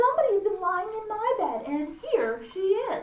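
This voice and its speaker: A woman's shrill, put-on character voice at an extremely high pitch. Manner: sharp, shrill.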